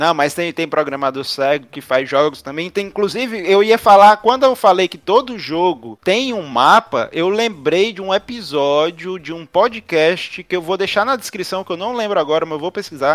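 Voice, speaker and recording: Over noticeable background noise, a man with a high pitch talks at a moderate pace with lively intonation, hardly any pauses and big swings in loudness. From Ceará, northeastern Brazil. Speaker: podcast co-host. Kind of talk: casual chat.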